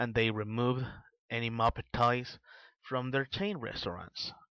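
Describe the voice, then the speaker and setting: Against a quiet background, a man with a non-native accent speaks at medium pitch in a bright, sharp tone. His sound is dry and close, with no echo. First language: not English. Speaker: vlogger. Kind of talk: opinion monologue. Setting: voice-only video, no camera. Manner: halting, with fillers.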